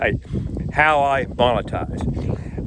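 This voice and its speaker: A man with a fairly high voice is heard through noticeable background noise. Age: 60s. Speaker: YouTuber. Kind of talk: casual vlog monologue. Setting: outdoors on a boardwalk.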